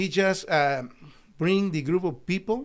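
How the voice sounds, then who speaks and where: A man speaks at a fairly slow pace with a Spanish accent. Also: very clean recording, silent background. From El Salvador. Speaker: doctor and company founder. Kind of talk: interview.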